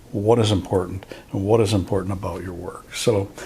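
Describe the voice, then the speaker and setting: A man at a fairly quick pace, over noticeable background noise. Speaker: photographer and YouTuber. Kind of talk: casual talk to camera. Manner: hesitant, rambling.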